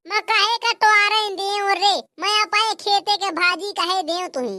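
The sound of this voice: Putting on a squeaky, cartoonish character voice at an extremely high pitch, a woman speaks at a moderate pace with fairly even intonation in a dry, close sound with no echo.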